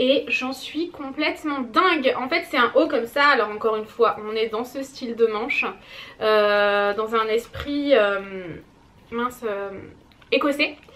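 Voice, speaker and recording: A woman speaks in a raised, projected voice with an animated tone and ordinary pitch variation. Her pace is fairly slow, and background noise is noticeable. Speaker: beauty vlogger. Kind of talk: casual vlog.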